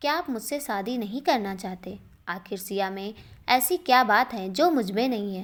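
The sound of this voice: The reading voice here is unforced.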